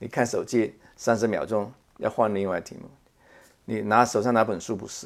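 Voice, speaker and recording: Flat, monotone delivery from a man at medium pitch, moderate in pace, with long, frequent pauses and big swings in loudness. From Macau. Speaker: space scientist, professor. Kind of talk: interview. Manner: halting, many fillers.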